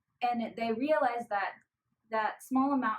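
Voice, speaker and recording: Moderate-paced speech from a woman with a Spanish accent and ordinary pitch variation. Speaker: college student volunteer. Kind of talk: interview.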